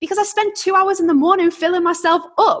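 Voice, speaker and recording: A woman speaks with a British accent. Her pace is very fast. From UK. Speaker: entrepreneur. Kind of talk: interview.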